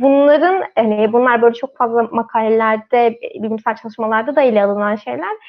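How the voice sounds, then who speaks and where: Here a woman with a normal speaking voice talks at a fairly high pitch and a moderate pace. Her pitch variation is ordinary, and there are hardly any pauses. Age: 20s. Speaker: magazine team member, live stream moderator. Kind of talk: live stream panel discussion.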